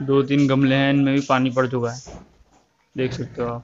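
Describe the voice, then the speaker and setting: Light noise sits in the background as a man talks at a moderate pace. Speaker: vlogger. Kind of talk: casual vlog chat. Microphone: phone near.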